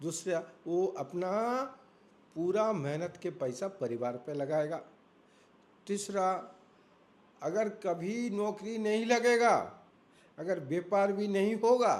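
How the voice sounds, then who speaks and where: A man with a high pitch speaks with lively intonation. He takes long, frequent pauses. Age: 60s. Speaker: elderly devotee and student of scripture. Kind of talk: interview.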